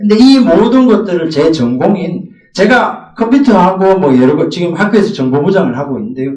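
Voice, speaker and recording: In a room with audible echo, a man with a slight Gyeongsang accent speaks at a high pitch and a fairly quick pace, with very wide pitch swings and hardly any pauses. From Gyeongsang region, South Korea. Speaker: middle school math teacher. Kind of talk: teacher training presentation.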